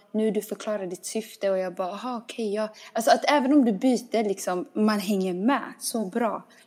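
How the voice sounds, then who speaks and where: With an ordinary speaking voice, a woman talks at a fairly quick pace, her fairly high pitch moving with ordinary variation. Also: hardly any pauses. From small town in Sweden. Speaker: podcast host. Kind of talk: casual chat.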